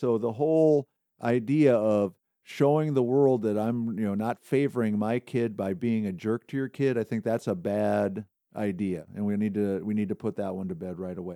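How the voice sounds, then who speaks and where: A man talks at a moderate pace in a plain, everyday voice, pitched fairly low for a man. His pitch varies in an ordinary way, and the sound is dry and close with no echo. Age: 60s. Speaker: softball coach and podcast host. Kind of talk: casual chat. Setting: studio.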